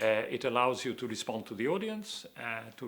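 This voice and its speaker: A man with a German accent, medium in pitch, at a moderate pace. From Austria, Vienna (born in Hungary). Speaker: planning professor. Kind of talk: interview. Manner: halting, many fillers.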